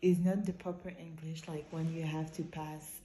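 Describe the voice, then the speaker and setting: Amid noticeable background noise and audible room echo, a woman speaks with a very deep, low pitch. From Quebec. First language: French. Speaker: vlogger. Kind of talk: casual vlog monologue. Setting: outdoors while jogging. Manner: halting, self-correcting.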